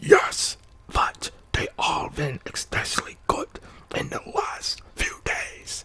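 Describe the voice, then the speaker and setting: Putting on a raspy character voice at an extremely high pitch, a man speaks at a very slow pace. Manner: jolly.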